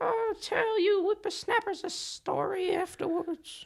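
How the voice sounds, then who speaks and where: A put-on character voice that sounds female goes at a moderate pace with an extremely high pitch. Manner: folksy storyteller addressing youngsters.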